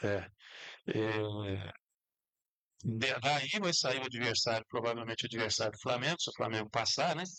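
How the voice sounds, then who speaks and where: A man speaks at a medium pitch in a bright, sharp tone with ordinary pitch variation. His pace is moderate, with long, frequent pauses over a quiet background. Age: 60s. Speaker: sports talk show host. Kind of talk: casual sports talk.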